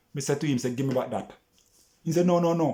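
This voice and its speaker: With a Jamaican accent, this voice sounds somewhat breathy and has a dark, mellow tone. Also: man. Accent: Jamaican patois-inflected English. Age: 60s. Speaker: vlogger. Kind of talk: casual monologue vlog rant. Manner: animated.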